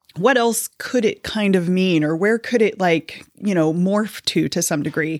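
On a very clean recording with a silent background, a woman with an American accent has an unremarkable speaking voice at a medium pitch, speaking fairly slowly with hardly any pauses and ordinary pitch variation. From Kansas City, US Midwest. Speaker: church member sharing scripture study. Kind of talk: casual chat.

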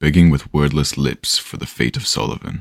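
A man speaks with a very deep, low pitch and vocal fry. His intonation is fairly even, his pace moderate, and the sound dry and close with no echo. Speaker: audio drama narrator. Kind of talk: dramatic horror storytelling narration. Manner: voices characters.

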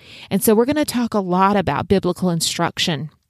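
A woman with a South Carolina Lowcountry accent and lively intonation, in a very clean recording with a silent background and a dry, close sound with no echo. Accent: Southern US (South Carolina Lowcountry). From US South, Low Country of South Carolina. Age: 50s. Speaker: podcast host, homeschooling mother. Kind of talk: podcast monologue.

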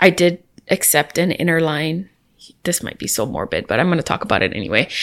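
A woman's very deep, low voice with vocal fry, at a moderate pace with ordinary pitch variation. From Hawaii, Kauai. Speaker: airline cargo worker. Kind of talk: casual chat.

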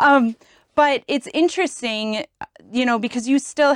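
A woman speaks at a fairly slow pace in a plain, everyday voice with ordinary pitch variation. The sound is dry and close with no echo, on a very clean recording with a silent background. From Wisconsin. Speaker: chemical engineer. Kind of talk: casual chat.

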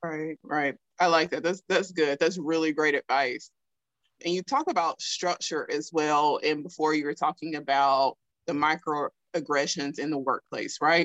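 A strong Southern US accent at a fairly slow pace with fairly even intonation, in a dry, close sound with no echo. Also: woman, very deep, low pitch for a woman. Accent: thick Southern US. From South Alabama. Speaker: podcast host. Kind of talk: casual interview chat.

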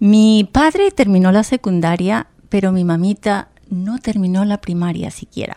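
A woman talks at a fairly slow pace in a medium pitch. Her tone is dark and mellow. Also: ordinary pitch variation, dry, close sound with no echo. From Colombia, Bogotá. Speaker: Spanish teacher. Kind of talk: interview. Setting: radio studio.

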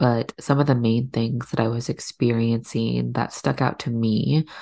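A woman talks with a very deep, low pitch and vocal fry. Her pace is fairly slow. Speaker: podcast host and doula. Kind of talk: solo podcast monologue.

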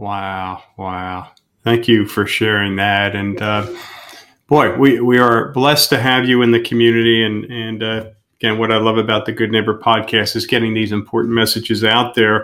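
At a moderate pace, a man speaks in a monotone, flat intonation at a medium pitch. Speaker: podcast host. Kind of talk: casual interview.

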